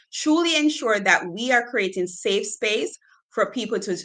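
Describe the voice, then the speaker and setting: Her tone bright and sharp, a woman speaks at a fairly slow pace with lively intonation. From Jamaica. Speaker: culture and change consultant, live stream host. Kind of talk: live stream conversation. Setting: live video stream.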